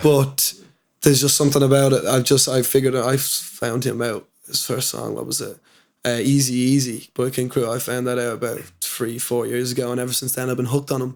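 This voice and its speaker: A man with a Dublin accent speaks at a medium pitch. His delivery is fairly quick, with monotone, flat intonation. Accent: Dublin Irish. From Dublin, Ireland. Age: young. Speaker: hip-hop artist. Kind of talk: interview answer. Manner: casual.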